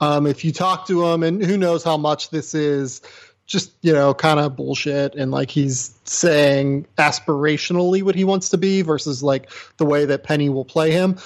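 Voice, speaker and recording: An unremarkable speaking voice, this man talks at a moderate pace with fairly high pitch and fairly even intonation. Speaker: basketball draft analyst. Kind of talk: casual chat. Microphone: new microphone setup.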